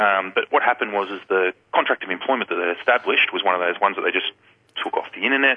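A man with an Australian accent talks at a very fast pace. His pitch is fairly low and varies in an ordinary way. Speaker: recruitment consultant. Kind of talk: radio interview. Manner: casual, hesitant.

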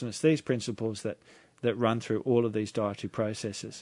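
Against a quiet background, a man with an Australian accent speaks at a fairly quick pace. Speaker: naturopath. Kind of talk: radio talk show interview. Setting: radio studio. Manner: halting, filler-heavy.

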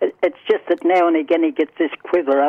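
This man has a strong Australian accent and a fairly high pitch, talking at a moderate pace with fairly even intonation. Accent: broad Australian. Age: 80s+. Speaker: caller. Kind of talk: casual chat. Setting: phone call.

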